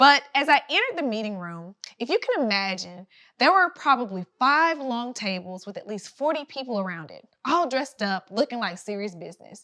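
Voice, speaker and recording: In a Southern accent, the speaker talks at a fairly quick pace with a bright, sharp tone, very wide pitch swings and big swings in loudness. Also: woman, high pitch for a woman. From US South, rural Georgia. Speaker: writer and public relations consultant. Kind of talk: inspirational talk.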